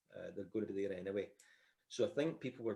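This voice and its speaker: Speaking in a Scottish accent, a man moves at a fairly quick pace. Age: 60s. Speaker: sports announcer. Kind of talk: casual chat.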